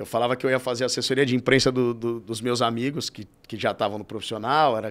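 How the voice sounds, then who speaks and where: A man speaks at a very fast pace. His medium-pitched voice stays monotone and flat. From Brazil, São Paulo (Vila Maria, north zone). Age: 30s. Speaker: futsal club president, sports marketing executive. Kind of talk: interview. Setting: studio. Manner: casual, halting with repetitions.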